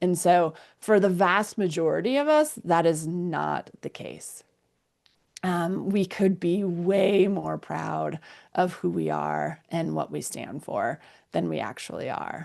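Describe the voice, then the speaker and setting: Very slow speech over a quiet background. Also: woman. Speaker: mindfulness guide and energy healer. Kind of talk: guided mindfulness session. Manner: warm, encouraging, conversational.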